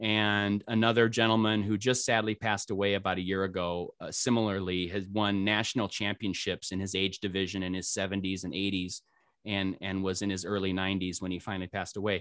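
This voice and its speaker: A fairly quick, monotone delivery with flat intonation and hardly any pauses, on a very clean recording with a silent background. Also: man, fairly low pitch for a man. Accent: American. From US Midwest, northwest Iowa. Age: 50s. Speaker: retired school technology director and archer. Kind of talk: casual interview.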